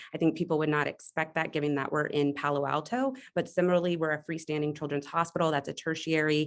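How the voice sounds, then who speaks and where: A woman's very deep, low voice at a very fast pace, with fairly even intonation and very even loudness. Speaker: pediatrics residency faculty and diversity dean. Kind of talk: webinar program presentation. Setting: video call.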